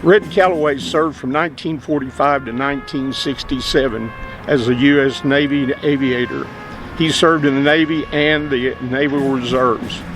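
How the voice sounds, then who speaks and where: A man's fairly high voice with fairly even intonation at a moderate pace, over music in the background. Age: 70s. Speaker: retired Air National Guard sergeant, program narrator. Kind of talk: scripted narration. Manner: formal.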